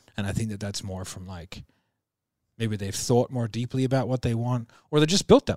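A man with an unremarkable speaking voice and a medium pitch talks at a fairly quick pace, with ordinary pitch variation and big swings in loudness, in a dry, close sound with no echo on a very clean recording with a silent background. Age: 30s. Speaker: sales business podcast co-host. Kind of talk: casual chat.

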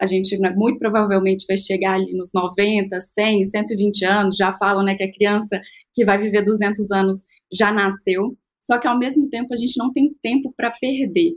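It's an ordinary speaking voice, delivered at a moderate pace with ordinary pitch variation. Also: woman. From Minas Gerais, Brazil. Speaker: longevity entrepreneur. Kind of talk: casual chat.

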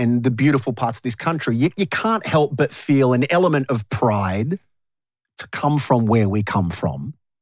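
A man with an Australian accent talks at a moderate pace in a medium pitch with lively intonation, recorded very cleanly against a silent background with a dry, close sound and no echo. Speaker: radio host and podcast host. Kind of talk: casual chat. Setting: studio. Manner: animated.

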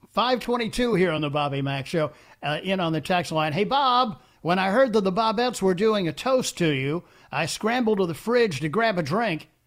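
This man has a high pitch and lively intonation. He talks at a moderate pace. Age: 70s. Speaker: radio talk show host. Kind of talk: call-in radio talk. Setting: radio studio.

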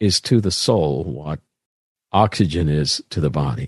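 In a Midwestern American accent, a man talks at a fairly slow pace with very wide pitch swings, recorded with a dry, close sound and no echo. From US Midwest, southern Indiana. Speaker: pastor. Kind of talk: casual chat. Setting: video call.

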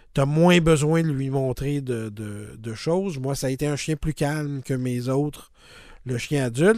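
On a very clean recording with a silent background, a man with a Quebec accent talks at a fairly slow pace in a fairly high pitch with ordinary pitch variation. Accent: Québécois French. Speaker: podcast host. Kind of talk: casual chat. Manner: halting, many repetitions and fillers.

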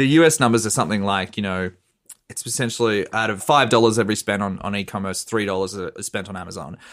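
With an Australian accent, a man with a fairly low pitch talks at a very fast pace, his loudness swinging widely. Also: ordinary pitch variation. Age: 30s. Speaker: journalist. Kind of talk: casual chat.

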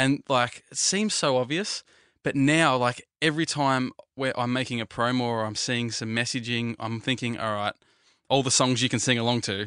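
Against a quiet background, a man with an Australian accent speaks at medium pitch in a bright, sharp tone. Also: ordinary pitch variation, moderate pace. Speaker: radio audio producer. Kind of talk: casual chat. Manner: animated.

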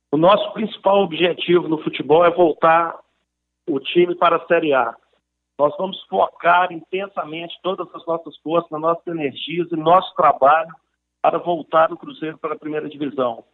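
Using fairly even intonation, a man with a high pitch talks at a moderate pace. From Brazil, Belo Horizonte (Minas Gerais). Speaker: businessman and football club presidential candidate. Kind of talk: interview.

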